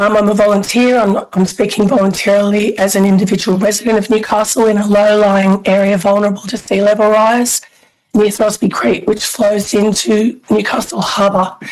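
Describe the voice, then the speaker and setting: This woman's voice sits at a medium pitch, her intonation fairly even and her pace moderate. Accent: Australian. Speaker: member of the public speaking at a hearing. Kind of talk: public hearing submission. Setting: video call. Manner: loud whisper.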